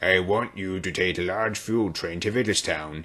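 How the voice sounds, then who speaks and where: A man puts on a booming character voice, very deep and low. He keeps a moderate pace and fairly even intonation. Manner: authoritative, commanding.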